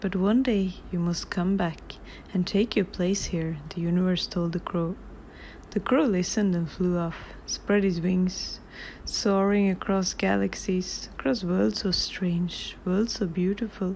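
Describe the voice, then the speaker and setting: The speech comes at a fairly slow pace in a non-native accent. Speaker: author. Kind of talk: reading aloud. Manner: awkward reading.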